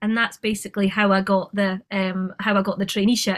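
A woman speaks with an Edinburgh accent at a moderate pace. Her pitch sits fairly high. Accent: Edinburgh Scottish. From Scotland, Edinburgh. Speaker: film and TV producer. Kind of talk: casual interview.

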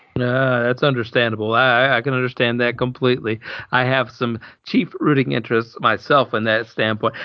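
With a Southern US accent, a man speaks at a medium pitch. His pace is moderate and his loudness very even. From Alabama. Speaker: podcast host. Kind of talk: casual chat. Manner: energetic, chatty.

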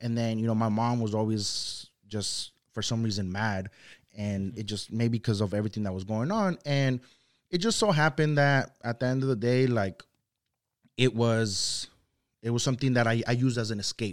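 Here a man speaks at a medium pitch and moderate pace with ordinary pitch variation. The recording is very clean, with a silent background. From Santa Ana, California (born in Zacatecas, Mexico). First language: Spanish. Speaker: youth mentor. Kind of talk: casual interview.

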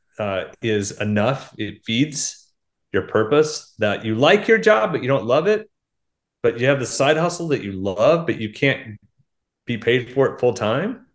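Lively intonation runs through an ordinary speaking voice that moves at a fairly slow pace. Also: man, quiet background. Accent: American. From Oklahoma. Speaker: author and leadership speaker. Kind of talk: casual interview.

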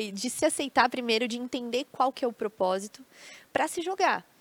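A woman's high voice at a fairly quick pace, dry and close with no echo. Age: 20s. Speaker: tourism account executive and creativity speaker. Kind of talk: casual interview on a live stream. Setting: studio with live audience of family.

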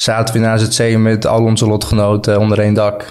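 Fairly slow speech with audible room echo. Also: man. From Netherlands (Friesland), fled Balkans at six. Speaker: brand founder sharing refugee story. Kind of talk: casual interview.

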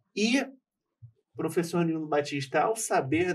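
Delivered at a fairly slow pace, the somewhat breathy voice carries lively intonation. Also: man. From Rio de Janeiro. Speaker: lawyer. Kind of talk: casual chat.

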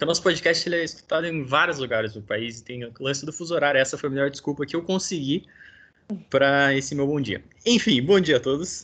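A man with a plain, everyday voice speaks at a fairly quick pace, fairly high in pitch with ordinary pitch variation. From Brazil, interior of São Paulo state. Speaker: podcast host. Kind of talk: casual interview.

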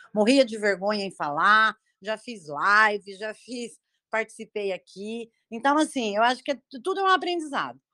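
A woman talks at a moderate pace with a fairly high pitch, lively intonation and a bright, sharp tone. Her loudness swings widely, and the sound is dry and close with no echo. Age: 50s. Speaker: criminal lawyer, live participant. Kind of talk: casual discussion. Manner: halting.

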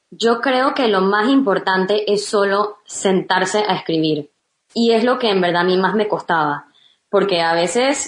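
This is an ordinary speaking voice from a woman, pitched in the medium range. She speaks at a fairly slow pace with ordinary pitch variation. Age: 20s. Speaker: children's book author and teacher. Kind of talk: interview.

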